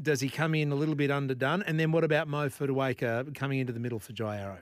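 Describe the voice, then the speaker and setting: This man has an Australian accent and a fairly high pitch. He talks at a fairly quick pace with ordinary pitch variation. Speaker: radio host. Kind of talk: talk radio. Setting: studio.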